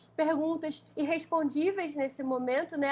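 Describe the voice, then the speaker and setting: A woman's high voice at a moderate pace with fairly even intonation. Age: 20s. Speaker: fashion designer. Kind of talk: casual interview.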